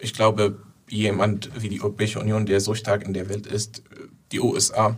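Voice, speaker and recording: Somewhat breathy, a man with an Arabic accent speaks at a fairly low pitch. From southern Syria. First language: Arabic (speaking German). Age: 20s. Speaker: Syrian refugee activist. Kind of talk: interview. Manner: halting.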